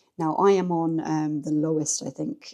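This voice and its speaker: With an English accent, a woman talks at a moderate pace in a very deep, low pitch with ordinary pitch variation. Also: very clean recording, silent background. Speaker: lifestyle vlogger. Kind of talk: casual chat. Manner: chatty, rambling pace.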